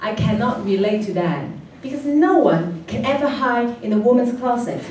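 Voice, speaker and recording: A woman with a strong Hong Kong accent and a fairly high pitch speaks at a moderate pace with very wide pitch swings, amid noticeable background noise and audible room echo. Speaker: comedian. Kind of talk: stand-up. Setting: stage with audience.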